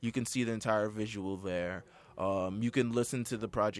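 A man with an unremarkable speaking voice talks at a medium pitch on a very clean recording with a silent background. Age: 20s. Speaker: podcast host. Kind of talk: casual chat. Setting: studio.

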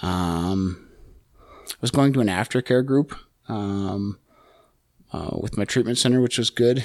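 With a Canadian accent and a fairly low pitch, a man speaks at a fairly slow pace with long, frequent pauses and ordinary pitch variation in a very clean recording with a silent background. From Calgary, Alberta, Canada. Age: 30s. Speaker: person in addiction recovery. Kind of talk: testimony. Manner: halting, many fillers.

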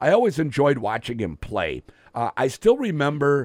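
Vocal fry runs through this man's voice at a moderate pace. The sound is dry and close, with no echo. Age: 50s. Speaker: radio sports host. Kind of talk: casual chat. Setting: studio.

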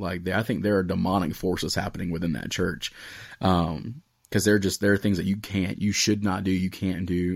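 A man speaks fairly quickly in a very deep, low voice with fairly even intonation. The recording is very clean, with a silent background. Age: 20s. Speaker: podcast host and student pastor. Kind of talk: casual chat.

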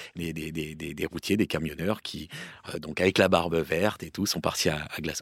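On a very clean recording with a silent background, the voice moves at a moderate pace with ordinary pitch variation in a dry, close sound with no echo. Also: man. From Île-de-France (Paris, Seine-et-Marne). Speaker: football commentator. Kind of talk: casual chat.

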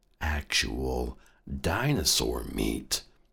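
Vocal fry runs through this man's speech, which moves at a very slow pace. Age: 30s. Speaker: podcast host. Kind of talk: comedic monologue. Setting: studio.

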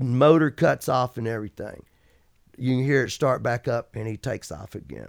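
A man speaks in an Alabama accent at a moderate pace. The sound is dry and close, with no echo. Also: medium pitch for a man, ordinary pitch variation. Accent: Southern US (Alabama). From Alabama, US South. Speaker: retired pro water skier, hall of fame inductee. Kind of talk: casual interview.

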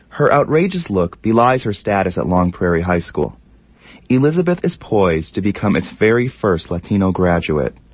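Fairly low in pitch, a man with a normal speaking voice talks at a moderate pace with lively intonation. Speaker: documentary narrator. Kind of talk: scripted narration.

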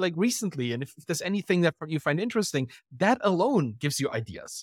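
A man with a German accent speaks at a very fast pace in a high pitch, his voice making very wide pitch swings. The very clean recording has a silent background and a dry, close sound with no echo. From Germany. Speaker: writer and podcaster. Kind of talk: casual interview.

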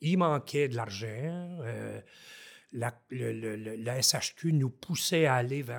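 A man talks at a very slow pace, his medium pitch showing ordinary variation. The recording is very clean, with a silent background. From Haute-Gatineau, Quebec. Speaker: forestry engineer, former mayor. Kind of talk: casual interview.

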